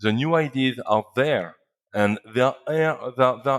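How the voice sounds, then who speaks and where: A man with a French accent, ordinary pitch variation, and a very clean recording over a silent background. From northern France. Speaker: company founder. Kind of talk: interview. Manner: halting, many repetitions and fillers.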